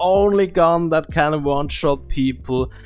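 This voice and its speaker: A very slow voice in a Swiss German accent, with music in the background. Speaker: gaming YouTuber. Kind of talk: gaming commentary. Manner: halting, many fillers.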